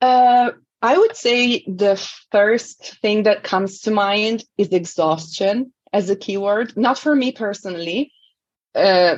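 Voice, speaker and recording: A woman with an Italian accent speaks at a very slow pace and a fairly high pitch, with ordinary pitch variation. Her loudness stays very even over a quiet background. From Italy. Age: 40s. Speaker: language coach. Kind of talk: interview.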